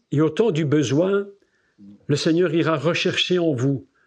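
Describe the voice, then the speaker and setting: Over a quiet background, a man speaks at a very slow pace, somewhat breathy and with lively intonation. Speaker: preacher. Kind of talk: sermon. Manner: animated.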